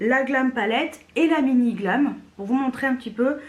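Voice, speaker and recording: This is a woman speaking with a high pitch. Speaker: beauty youtuber. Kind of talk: product review. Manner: not very loud; casual, many hesitations.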